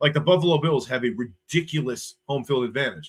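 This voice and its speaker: This man has a fairly high-pitched, somewhat breathy voice. His pitch variation is ordinary. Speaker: sports YouTuber. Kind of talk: live stream chat reading viewer comments. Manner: animated, casual.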